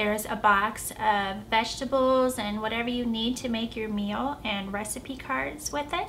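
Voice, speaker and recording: A woman with an American accent speaks in a squeaky, fairly high voice with ordinary pitch variation. Her fairly slow delivery carries audible room echo. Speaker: vlogger. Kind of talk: casual vlog review.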